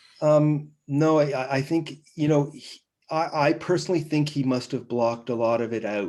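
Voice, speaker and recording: Speech moves at a fairly slow rate. The pitch varies in an ordinary way. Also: man. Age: 60s. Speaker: family history presenter. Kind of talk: online presentation with Q&A. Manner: halting.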